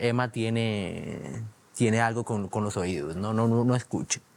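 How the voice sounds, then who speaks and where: A man with a medium pitch talks at a fairly slow pace. His pitch varies in an ordinary way. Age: 20s. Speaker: hearing aid user sharing his story. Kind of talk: interview. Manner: halting, many fillers and repetitions.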